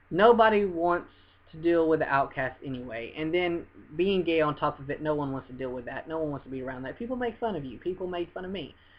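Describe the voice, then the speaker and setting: This voice has a Southern US accent. The pace is fairly quick. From US South. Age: 20s. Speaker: vlogger. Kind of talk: personal testimony to camera. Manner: earnest, repetitive with hesitations.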